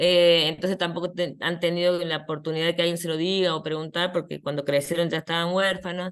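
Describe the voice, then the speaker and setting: At a very fast pace, a woman with a fairly low pitch talks in a monotone, flat intonation. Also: hardly any pauses. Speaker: psychologist, head of an identity rights program. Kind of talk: conference talk. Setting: online video conference.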